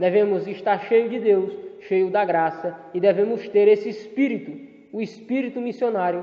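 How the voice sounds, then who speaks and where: With a high pitch and fairly even intonation, a man talks at a moderate pace amid noticeable background noise and audible room echo. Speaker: theology teacher. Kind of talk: lecture. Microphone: poor audio quality in video lesson.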